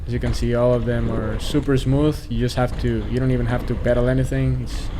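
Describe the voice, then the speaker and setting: Fairly quick speech from a man in a Costa Rican accent, with audible room echo and noticeable background noise. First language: Spanish. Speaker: mountain biking vlogger. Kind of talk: voiceover narration of riding footage. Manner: casual, with fillers and restarts.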